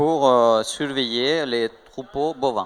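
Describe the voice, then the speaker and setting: A man with a strong Spanish accent, at a very slow pace. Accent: marked Spanish. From Spain. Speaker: tech startup co-founder. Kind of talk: interview. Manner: hesitant, many fillers.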